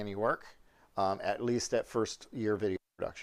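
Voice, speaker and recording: Moderate pace and ordinary pitch variation, with an American accent. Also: man. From New York. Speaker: high school teacher. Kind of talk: classroom orientation talk. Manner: hesitant, many fillers.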